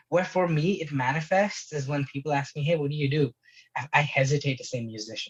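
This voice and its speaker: A man speaks at a moderate pace with fairly high pitch and ordinary pitch variation. His voice is somewhat breathy. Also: long, frequent pauses. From Middle East (Abu Dhabi, Dubai), Indian. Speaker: singer-songwriter. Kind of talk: casual chat.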